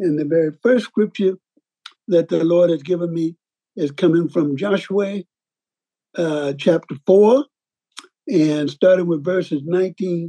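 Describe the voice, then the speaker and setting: Slowly paced, a man speaks with high pitch and a dark, mellow tone. His pitch variation is ordinary. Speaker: preacher. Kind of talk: sermon.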